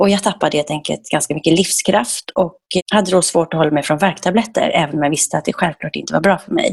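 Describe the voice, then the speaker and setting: A woman talks at a very fast pace in a fairly low pitch with ordinary variation, sounding somewhat breathy. The sound is dry and close, with no echo. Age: 40s. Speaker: raw food chef and entrepreneur. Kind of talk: podcast interview.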